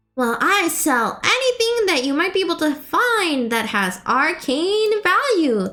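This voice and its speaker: A woman puts on a character voice at an extremely high pitch. She goes at a fairly slow pace with very wide pitch swings. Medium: actual play. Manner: bubbly, enthusiastic.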